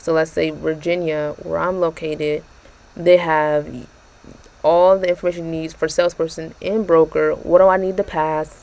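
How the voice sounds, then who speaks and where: A soft-spoken woman with monotone, flat intonation. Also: fairly low pitch for a woman, moderate pace. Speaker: YouTuber reviewing exam prep tool. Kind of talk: tutorial walkthrough. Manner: casual, with fillers.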